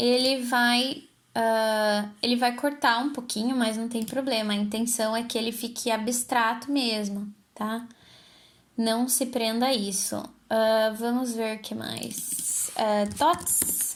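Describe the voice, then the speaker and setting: Very slow speech from a woman with a fairly high pitch and fairly even intonation, plus audible room echo. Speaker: design tutorial creator. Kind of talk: tutorial. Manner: casual.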